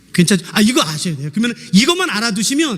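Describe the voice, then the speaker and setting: This man's voice sits high for a male and swings very widely in pitch. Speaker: pastor; seminary lecturer. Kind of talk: sermon. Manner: fast.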